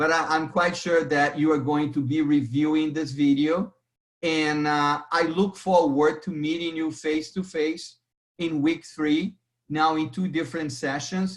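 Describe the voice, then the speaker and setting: A man's fairly high pitch comes with fairly even intonation and a fairly slow pace. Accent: Brazilian. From Brazil. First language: Portuguese. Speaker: accounting instructor. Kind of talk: lecture. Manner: halting, with repetitions.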